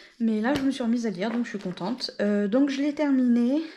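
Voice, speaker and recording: A woman talks at a fairly quick pace in a dark, mellow tone with ordinary pitch variation. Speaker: book vlogger. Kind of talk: casual vlog chat. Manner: hesitant, many fillers; soft-spoken.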